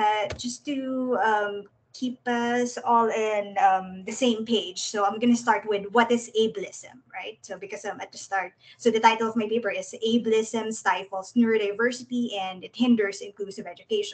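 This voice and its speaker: Speaking at a moderate pace with hardly any pauses, a woman with a Filipino accent uses a fairly high pitch and monotone, flat intonation. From Philippines. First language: Tagalog. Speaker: speech and language pathologist. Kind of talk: presentation. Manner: halting, many fillers.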